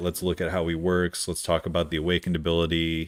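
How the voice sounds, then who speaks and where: The man's voice sits at a very deep, low pitch. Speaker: video game streamer. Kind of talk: casual live-stream gameplay commentary. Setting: live stream. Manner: animated.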